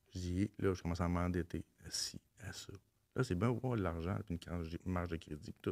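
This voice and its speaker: A man with a very deep, low voice speaks at a moderate pace in a Quebec accent against a quiet background. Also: long, frequent pauses. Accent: Québécois French. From Quebec, Laurentides (Mont-Laurier area). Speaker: former inmate sharing life story; podcast guest. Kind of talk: casual interview, personal testimony. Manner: halting, repetitive. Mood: reflective, candid storytelling. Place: studio. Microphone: studio mic.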